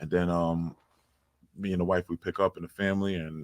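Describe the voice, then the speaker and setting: Delivered at a very fast pace in a New York accent, the speech has a dry, close sound with no echo. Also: man. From New York City (Far Rockaway, Queens). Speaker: basketball coach and DJ. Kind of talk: casual interview chat. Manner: animated.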